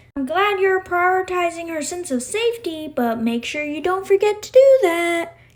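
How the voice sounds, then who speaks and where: A woman performs a squeaky, put-on character voice at an extremely high pitch with lively intonation. She keeps a moderate pace and hardly pauses. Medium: read story. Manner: firm, brisk.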